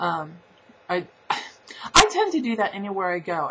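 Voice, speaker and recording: A woman with a medium pitch speaks in a slight Southern US accent. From Southern California. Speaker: vlogger. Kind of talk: casual vlog.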